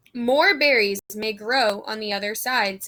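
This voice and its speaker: A woman uses a put-on character voice with a fairly high pitch. She speaks at a fairly slow pace. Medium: read story.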